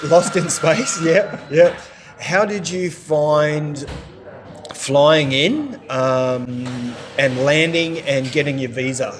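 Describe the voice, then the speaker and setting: Noticeable background noise sits behind a man speaking at a very slow pace. His pitch is fairly high and varies in an ordinary way. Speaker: expat vlogger interviewer. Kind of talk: casual interview host.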